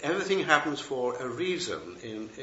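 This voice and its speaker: Against noticeable background noise and audible room echo, a man speaks at a moderate speed. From England. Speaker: Buddhist teacher and retired professor. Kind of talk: dharma talk. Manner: hesitant, many fillers and restarts.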